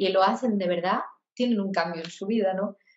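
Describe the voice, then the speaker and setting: Ordinary pitch variation shapes a woman's medium-pitched speech. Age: 40s. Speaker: singer-songwriter and voice therapist. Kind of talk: interview.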